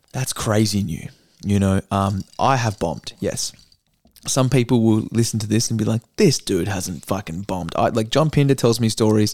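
A man's fairly low voice with an Australian accent, ordinary pitch variation and a moderate pace. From Perth, Western Australia. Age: 20s. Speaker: stand-up comedian and actor. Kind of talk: casual chat.

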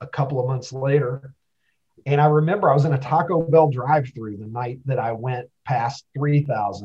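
The voice belongs to a man with a medium pitch and a somewhat breathy quality. He moves at a moderate pace with fairly even intonation. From Kentucky. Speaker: social media personality. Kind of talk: casual interview.

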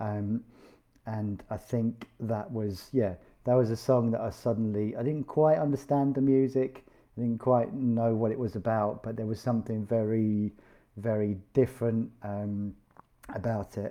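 A man with a British accent speaks at medium pitch. The pace is fairly slow and the intonation fairly even. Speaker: podcast host and musician. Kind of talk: casual chat. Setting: video call.

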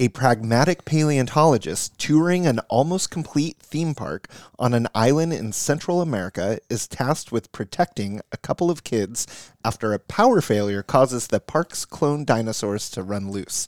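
In a normal speaking voice with lively intonation, the speaker keeps a moderate pace with hardly any pauses, and the sound is dry and close with no echo on a very clean recording with a silent background. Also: man, medium pitch for a man. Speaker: podcast co-host.

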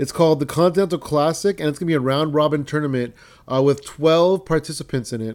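An animated, fairly high-pitched man with an American accent and lively intonation, on a very clean recording with a silent background. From San Jose, California. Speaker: podcast host. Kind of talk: casual chat, podcast hosting with wrestling review. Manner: profane.

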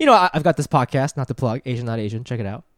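A man talks in a plain, everyday voice at a medium pitch with lively intonation. The recording is very clean and silent behind him, with a dry, close sound and no echo. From Ohio, US (born in Japan). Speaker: comedian. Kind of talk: casual chat.

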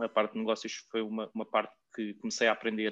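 His speech races along at a very fast pace. This man's fairly low voice stays monotone and flat in intonation. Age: 20s. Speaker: recruiter. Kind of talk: casual chat.

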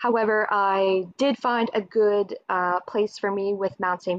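A woman with a Maritime Canadian accent and fairly even intonation. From Nova Scotia, Canada (Dartmouth). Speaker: government outreach coordinator. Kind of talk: interview. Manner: hesitant, many fillers.

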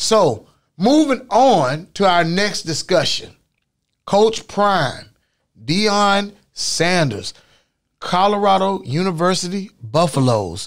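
A high-pitched man at a very slow pace, with lively intonation, very even loudness and long, frequent pauses. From Florida, Orlando. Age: 50s. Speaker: podcast host. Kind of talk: casual chat. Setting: studio. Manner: animated.

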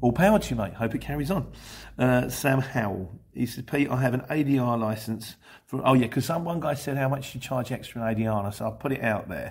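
Somewhat breathy and with an English accent, the speaker goes at a very fast pace with ordinary pitch variation. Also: man, medium pitch for a man. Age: 50s. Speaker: van courier vlogger. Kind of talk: casual Q&A monologue.

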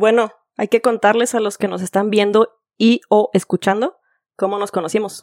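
A woman with an ordinary speaking voice, fairly high in pitch, at a moderate pace with fairly even intonation, in a dry, close sound with no echo. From Guadalajara, Mexico. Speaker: podcast co-host. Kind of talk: casual chat.

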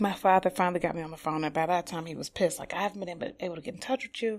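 A woman with an American accent talks at a very fast pace. Her pitch is medium, with ordinary variation. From Detroit, Highland Park. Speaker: stage actress and drama educator. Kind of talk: podcast interview. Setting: studio.

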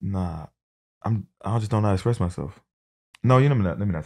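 Vocal fry runs through this man's lively intonation. The sound is dry and close with no echo, on a very clean recording with a silent background. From New Jersey, raised in US South. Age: 30s. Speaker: podcast host. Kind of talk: casual chat. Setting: studio. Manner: flirtatious, joking.

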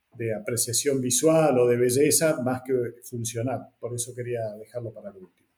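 At a moderate pace, a man speaks at a medium pitch with fairly even intonation and a somewhat breathy quality. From northern Argentina. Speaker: podcast host. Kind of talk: interview.

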